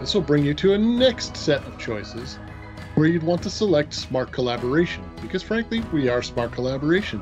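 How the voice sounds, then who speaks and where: A man speaks fairly quickly as music plays clearly behind him. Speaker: presenter. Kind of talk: tutorial.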